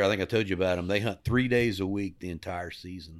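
Talking at a fairly quick pace, a man speaks with a Texan accent. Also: very clean recording, silent background. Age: 60s. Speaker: hunting lodge owner. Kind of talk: casual chat.

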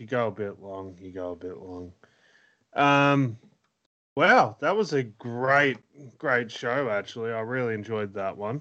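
Pausing long and often, a man with an Australian accent speaks in an animated tone at a medium pitch, with ordinary pitch variation and big swings in loudness. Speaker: podcast host and fantasy wrestling booker. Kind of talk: casual banter with wrestling show recaps. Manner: jokey, animated, swears and laughs.

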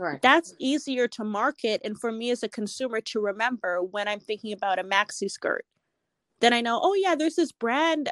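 Lively intonation carries a plain, everyday voice. The sound is dry and close with no echo, over a quiet background. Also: woman. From Edmonton, Alberta, Canada. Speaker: retail business consultant. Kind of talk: interview.

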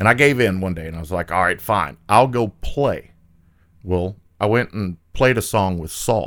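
A man talks at a moderate pace in a normal speaking voice, pitched fairly low with ordinary pitch variation. His loudness swings widely, and the recording is very clean with a silent background. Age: 40s. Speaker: flooring company territory manager, former carpenter. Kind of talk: casual chat. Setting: studio.

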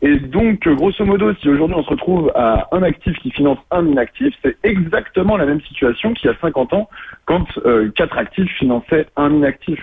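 This man has an ordinary speaking voice, fairly high in pitch, with lively intonation. He keeps a moderate pace and very even loudness. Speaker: student, political activist. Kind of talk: radio interview. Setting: phone call.

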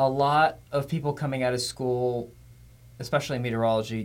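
With an ordinary speaking voice at medium pitch, a man talks at a fairly quick pace. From Florida. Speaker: TV meteorologist, podcast host. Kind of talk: casual interview.

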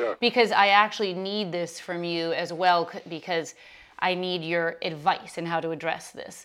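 Captured on a very clean recording with a silent background, a woman with a fairly low pitch speaks at a moderate pace with fairly even intonation. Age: 40s. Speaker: podcast host and yoga teacher. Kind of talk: casual interview.

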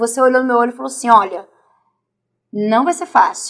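Her pitch fairly high, a woman talks at a fairly quick pace with ordinary pitch variation. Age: 40s. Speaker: martial arts athlete and fitness coach. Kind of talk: interview testimony.

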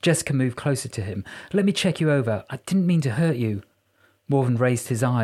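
Plain reading aloud with lively intonation plays out against a quiet background.

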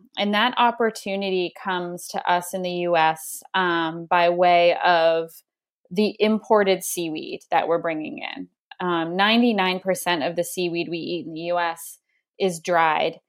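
In a normal speaking voice, a woman with an American accent talks at a fairly slow pace. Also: fairly low pitch for a woman, ordinary pitch variation, very clean recording, silent background. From Maine, US (coastal). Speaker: company marketing executive. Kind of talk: interview conversation.

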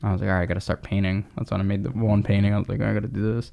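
This man has a normal speaking voice with an American accent, a fairly low pitch and fairly even intonation. The recording is very clean, with a silent background. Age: 20s. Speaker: artist and brand founder. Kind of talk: casual chat.

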